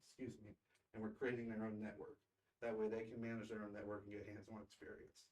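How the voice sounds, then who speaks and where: A man speaks at a very fast pace in a fairly low voice. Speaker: school district technology director. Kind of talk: presentation report at board meeting.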